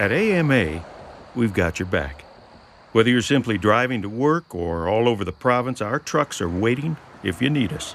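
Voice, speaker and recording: At a moderate pace, a man with a medium pitch makes very wide pitch swings. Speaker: voice actor. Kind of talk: radio commercial read.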